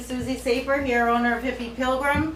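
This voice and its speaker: A woman with a Boston accent speaks at a moderate pace and a fairly high pitch. Noticeable background noise and audible room echo surround her voice. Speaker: cooking show host and spice business owner. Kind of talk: live cooking stream. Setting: home kitchen, livestream. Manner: animated.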